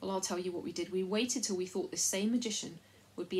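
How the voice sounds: The pitch moves up and down in an ordinary way. What we hear is a natural reading voice.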